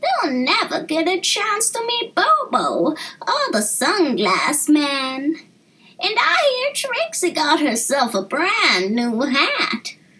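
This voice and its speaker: Squeaky and very slow, a put-on character voice swoops through very wide pitch swings. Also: woman, extremely high pitch for a woman. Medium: read story. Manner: warm, folksy.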